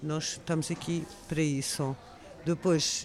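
A woman's fairly low voice holds fairly even intonation, set against noticeable background noise. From France. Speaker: makeup artist. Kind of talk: interview.

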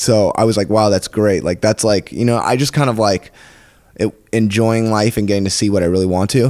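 A man with a plain, everyday voice and an American accent talks at a fairly quick pace, his fairly low pitch showing ordinary variation and very even loudness. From San Diego, California. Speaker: comedian. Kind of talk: casual chat.

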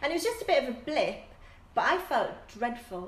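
A woman speaks with a northern English accent. Audible room echo and noticeable background noise surround her. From northern England. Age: 40s. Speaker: fitness instructor. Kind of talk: casual chat.

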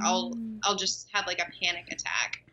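Her American accent carries an ordinary speaking voice, as this woman talks at medium pitch with ordinary pitch variation. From Texas, Dallas-Fort Worth. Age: 20s. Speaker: actress. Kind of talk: casual chat. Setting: video call.

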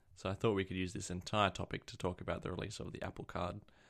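With an Australian accent, a man speaks at a very deep, low pitch. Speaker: podcast co-host, tech enthusiast. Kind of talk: casual chat. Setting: remote call.

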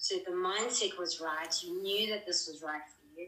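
At a moderate pace, a woman with a medium pitch speaks with very wide pitch swings. Noticeable background noise can be heard. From South Africa. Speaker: mental health advocate. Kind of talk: interview. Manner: hesitant, many fillers.

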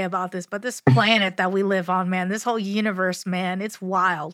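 In a very clean recording with a silent background, a woman speaks in an ordinary speaking voice at a medium pitch, with fairly even intonation. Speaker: podcast host. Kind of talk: casual interview chat.

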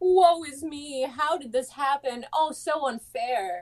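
In a put-on character voice, a woman sounds whiny at a high pitch and talks at a fairly slow pace. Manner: sad, whiny, mocking.

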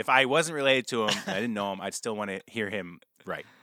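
With an American accent, a man speaks very fast in a bright, sharp tone, with a dry, close sound with no echo on a very clean recording with a silent background. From upstate New York. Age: 30s. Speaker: musician. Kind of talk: casual interview chat.

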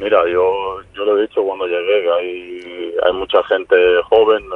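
Here a man talks with a Serbian accent. His pace is fairly slow. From Serbia, raised partly in Spain. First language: Serbian (speaking Spanish). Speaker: professional footballer. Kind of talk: interview.

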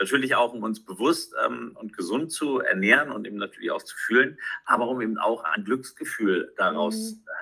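This man's volume rises and falls sharply. He keeps a moderate pace. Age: 40s. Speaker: sports commentator. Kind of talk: casual interview. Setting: remote call.

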